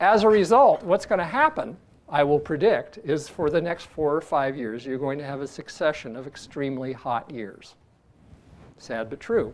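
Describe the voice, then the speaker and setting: A man with a normal speaking voice, fairly high in pitch, at a moderate pace, with lively intonation and big swings in loudness. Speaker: geologist. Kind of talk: podcast discussion.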